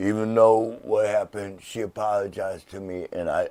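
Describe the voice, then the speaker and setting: A man talks at a moderate speed, and the recording is very clean with total silence behind him. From Michigan. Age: 60s. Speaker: HIV advocate. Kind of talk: casual chat. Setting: studio.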